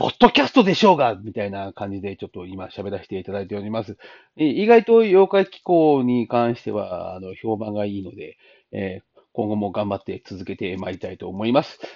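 His delivery runs at a fairly quick pace. This man's volume swings widely from loud to soft. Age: 40s. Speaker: podcaster. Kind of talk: casual monologue. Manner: halting, many fillers.

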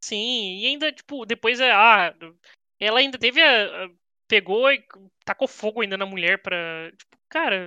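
A woman speaks at a fairly slow pace with a bright, sharp tone and lively intonation. Her loudness swings widely against a quiet background. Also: fairly high pitch for a woman, dry, close sound with no echo. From Brazil, São José dos Campos (São Paulo state). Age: 20s. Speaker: comics fan guest. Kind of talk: casual chat.

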